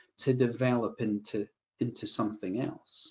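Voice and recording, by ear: A man speaks at a moderate pace. His voice has vocal fry and a slightly husky edge.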